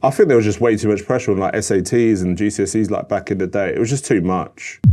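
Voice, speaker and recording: Speaking very fast, a man with a London accent has a fairly low pitch. The background is quiet. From North London. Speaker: adtech professional, father. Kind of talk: podcast interview answer. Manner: casual, conversational.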